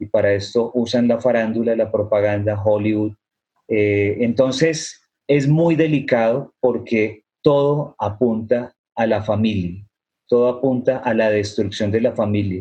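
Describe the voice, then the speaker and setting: This man's voice sits at a medium pitch, sounds somewhat breathy, and shows ordinary pitch variation. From Colombia. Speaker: author and activist. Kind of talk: panel discussion. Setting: video call.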